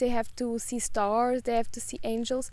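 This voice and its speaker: She has a Portuguese accent and a high pitch. The woman keeps a moderate pace with fairly even intonation. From Portugal. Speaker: spiritual YouTuber. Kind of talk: casual vlog monologue. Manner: hesitant, many fillers.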